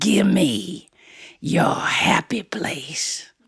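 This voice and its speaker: Growling and raspy, the put-on character voice sits at a low-to-middle pitch. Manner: menacing, growling.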